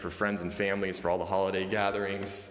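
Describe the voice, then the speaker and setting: Very fast speech comes through with audible room echo and noticeable background noise. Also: man. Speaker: real estate agent. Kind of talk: virtual open house tour. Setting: walking through house on video stream.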